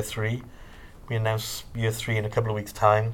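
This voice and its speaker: Somewhat breathy, a man's voice holds a medium pitch. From South Wales. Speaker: theatre producer. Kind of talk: interview. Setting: studio.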